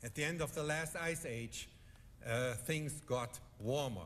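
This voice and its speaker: A fairly slow pace in a European accent, with ordinary pitch variation and audible room echo. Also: man. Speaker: economist panelist. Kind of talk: conference speech.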